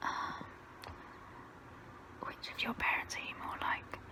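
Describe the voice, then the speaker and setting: With noticeable background noise behind it, the voice is whispering. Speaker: ASMR creator. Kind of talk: ASMR get-to-know-me talk. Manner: soft, relaxing.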